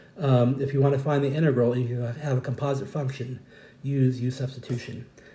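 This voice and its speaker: There's a fair amount of noise in the background while a man talks in a mid-range pitch. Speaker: math teacher. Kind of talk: tutorial. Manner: hesitant with fillers.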